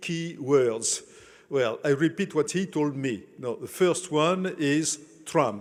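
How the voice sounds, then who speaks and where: Pitched fairly high, a man speaks at a very slow pace. His pitch varies in an ordinary way. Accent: French. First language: French. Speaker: conference host. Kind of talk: speaker introduction. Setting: conference dinner with audience. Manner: halting, many fillers.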